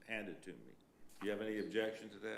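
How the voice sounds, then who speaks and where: A man with a fairly low pitch talks, and audible room echo hangs around his words. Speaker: special magistrate presiding over code hearings. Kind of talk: formal hearing proceedings. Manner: loud.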